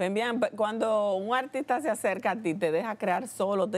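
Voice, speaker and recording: Speaking in a Dominican accent at a fairly slow pace, a woman uses ordinary pitch variation. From Dominican Republic. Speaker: TV show host. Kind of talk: TV interview. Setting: TV studio. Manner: animated. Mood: warm, admiring, emotional. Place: studio. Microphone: lapel.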